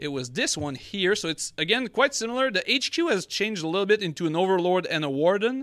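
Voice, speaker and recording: Lively intonation runs through this man's speech at a moderate pace. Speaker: podcast host. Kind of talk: casual chat. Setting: live stream.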